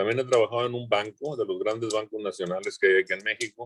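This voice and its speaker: The pace is very fast as a man speaks. The sound is dry and close, with no echo. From northern Mexico, Coahuila and Monterrey. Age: 70s. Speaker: former politician and engineer. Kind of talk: self-introduction in a virtual meeting.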